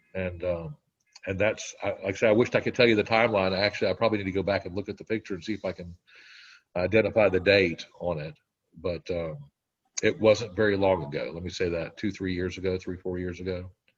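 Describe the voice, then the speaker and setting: A man speaks at a fairly low pitch with fairly even intonation, somewhat breathy, with long, frequent pauses. His loudness swings widely against a quiet background. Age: 60s. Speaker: weight loss program member. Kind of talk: interview testimony. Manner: halting.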